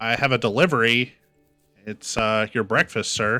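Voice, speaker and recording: A man puts on a robotic character voice at a medium pitch and a moderate pace. Faint music plays in the background. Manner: flat, robotic.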